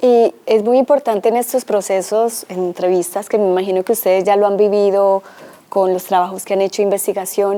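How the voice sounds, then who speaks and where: A woman's dark, mellow voice in a Colombian accent at a fairly quick pace. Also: medium pitch for a woman, fairly even intonation. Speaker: cultural heritage researcher. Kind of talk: presentation talk.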